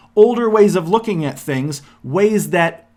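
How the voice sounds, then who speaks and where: A man's voice with very wide pitch swings. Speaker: philosophy podcast host. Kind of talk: monologue podcast. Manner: fast, halting with many restarts.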